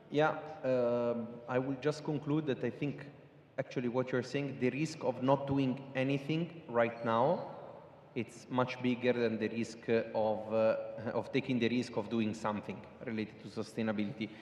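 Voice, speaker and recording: Amid noticeable background noise, a man with an American accent talks at a moderate pace, his medium pitch carried by fairly even intonation. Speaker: sustainability consultant. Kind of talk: panel discussion. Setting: stage with audience.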